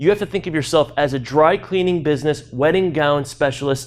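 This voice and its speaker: An animated voice with an American accent and ordinary pitch variation comes through a very clean recording with a silent background. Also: man. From US Midwest (Peoria, Illinois). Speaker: keynote speaker. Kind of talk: keynote talk. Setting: stage with audience. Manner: fast.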